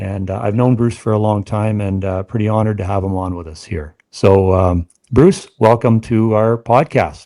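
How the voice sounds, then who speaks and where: A man with a Canadian accent has a dark, mellow tone. He talks with hardly any pauses on a very clean recording with a silent background. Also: fairly low pitch for a man, ordinary pitch variation, moderate pace. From Canada, Essex County, southern Ontario. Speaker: podcast host. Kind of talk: casual podcast interview.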